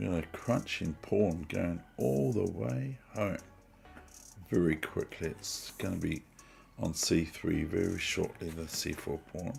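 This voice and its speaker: Music plays behind a man with a New Zealand accent and a very deep, low pitch, who talks fairly slowly with lively intonation. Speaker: chess streamer. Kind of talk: live stream commentary. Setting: at home.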